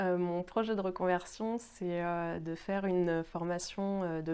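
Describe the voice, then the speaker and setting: A woman with a dark, mellow tone and fairly low pitch speaks at a very slow pace with fairly even intonation in a very clean recording with a silent background. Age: 30s. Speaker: job seeker with epilepsy. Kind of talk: testimony. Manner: halting, many fillers.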